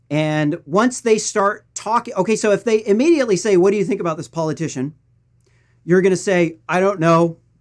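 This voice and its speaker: With a Missouri accent, a man speaks at a fairly quick pace in a high voice with ordinary pitch variation over a quiet background. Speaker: political news commentator. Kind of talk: political commentary.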